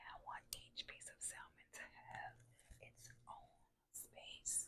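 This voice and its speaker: The speech comes as a whisper. It moves along very slowly. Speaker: home cook. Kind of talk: cooking demonstration. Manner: whispered.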